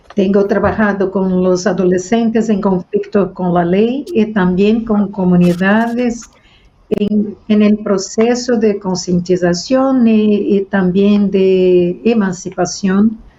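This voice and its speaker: A woman with a Brazilian accent speaks at a very slow pace, somewhat breathy and dark and mellow in tone, with fairly even intonation and very even loudness. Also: medium pitch for a woman. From Brazil, Rio de Janeiro. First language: Portuguese (speaking Spanish). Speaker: mediator and researcher. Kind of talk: panel discussion. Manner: halting.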